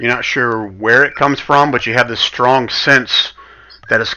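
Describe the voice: Simply plain reading aloud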